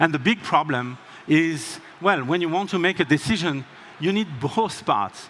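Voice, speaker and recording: Talking at a fairly slow pace, a man with a strong French accent uses a fairly high pitch and lively intonation. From France. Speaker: tech company co-founder, keynote speaker. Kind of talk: conference keynote.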